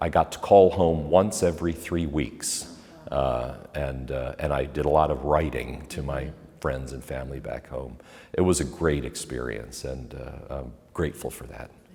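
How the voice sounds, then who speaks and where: A man's very deep, low voice with an American accent, ordinary pitch variation, big swings in loudness, a moderate pace, and noticeable background noise. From Pennsylvania, US. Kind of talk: interview. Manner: hesitant with fillers and repetitions.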